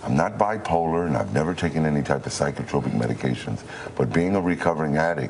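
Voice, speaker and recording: Very fast and very deep, a man's low voice holds very even loudness with ordinary pitch variation. Noticeable background noise runs beneath it. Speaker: radio announcer, formerly homeless man, recovering addict. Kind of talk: TV news interview answer.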